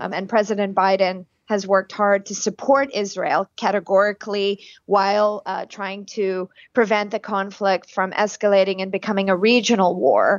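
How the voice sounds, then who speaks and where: At a moderate pace, a woman speaks with fairly even intonation and a medium pitch. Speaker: think tank director. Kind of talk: interview. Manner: hesitant, many fillers.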